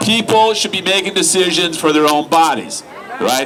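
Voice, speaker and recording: A man projects a raised voice with ordinary pitch variation. Noticeable background noise and audible room echo come through. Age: 60s. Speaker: activist speaker. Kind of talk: rally speech. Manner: conversational, rhetorical 'right?'.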